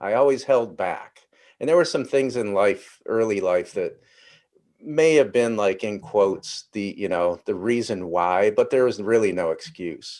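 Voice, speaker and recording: A man speaks at a fairly slow pace in a normal speaking voice, his pitch medium. His intonation is lively, and the background is quiet. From Ohio, US Midwest. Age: 60s. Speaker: interview guest. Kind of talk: personal story in interview.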